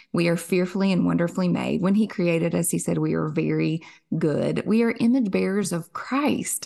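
A woman with a Kentucky accent, her loudness very even. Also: moderate pace. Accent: Southern US (Kentucky). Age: 30s. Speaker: author and podcaster. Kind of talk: faith interview.

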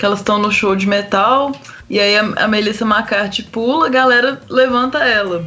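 A woman talks at a moderate pace with a fairly high pitch and ordinary pitch variation. Her loudness is very even, and there is noticeable background noise. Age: 30s. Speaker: film critic. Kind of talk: casual chat. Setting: video call.

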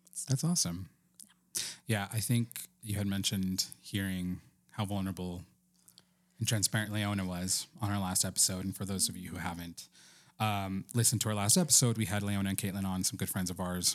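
A man with an American accent speaks in a plain, everyday voice, fairly low in pitch and fairly quick in pace. His intonation is fairly even, and the recording is very clean with a silent background. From Texas and New Mexico. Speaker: podcast co-host. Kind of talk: casual chat.

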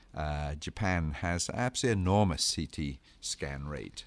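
A man with an English accent on a very clean recording with a silent background. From England. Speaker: radiation scientist, co-host. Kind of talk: educational podcast discussion.

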